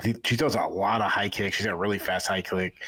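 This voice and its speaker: On a very clean recording with a silent background, a man with a Boston accent talks at a fairly quick pace. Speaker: MMA podcast co-host. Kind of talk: casual chat. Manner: halting, many fillers and repeats.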